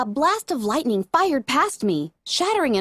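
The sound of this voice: The voice is an unforced reading voice, set against a quiet background.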